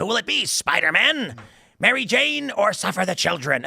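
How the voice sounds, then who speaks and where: Putting on a character voice, a man talks at a moderate pace, high in pitch with very wide pitch swings. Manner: menacing, taunting.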